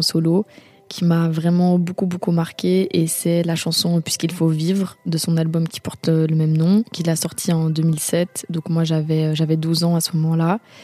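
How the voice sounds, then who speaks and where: A woman talks at a moderate pace with a fairly low pitch. Noticeable background noise runs underneath. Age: young. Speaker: film director and DJ. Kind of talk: personal testimony. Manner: hesitant, many fillers and repetitions.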